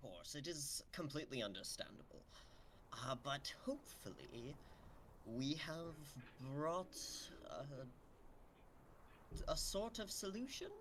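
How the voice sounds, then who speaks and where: A man's put-on character voice at a fairly slow pace, with long, frequent pauses over clear background noise. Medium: actual play. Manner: formal, self-assured.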